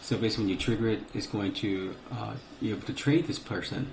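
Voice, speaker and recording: The man's voice sits at a medium pitch with ordinary pitch variation. He moves at a fairly quick pace, and audible room echo surrounds him. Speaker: gaming tutorial youtuber. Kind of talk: screen-recorded tutorial. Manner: casual with many fillers.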